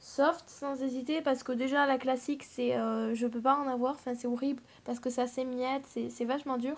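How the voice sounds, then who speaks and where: At a moderate pace, a woman speaks at a high pitch with monotone, flat intonation. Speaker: polymer clay crafts youtuber. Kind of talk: casual tag video chat. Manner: hesitant, many fillers.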